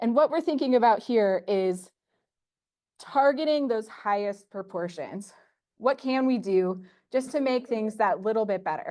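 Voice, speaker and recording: Against a quiet background, a woman with an American accent speaks at a fairly high pitch in a dark, mellow tone with lively intonation. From US Midwest, northwest Ohio. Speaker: university professor and extension specialist. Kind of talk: conference presentation. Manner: fast.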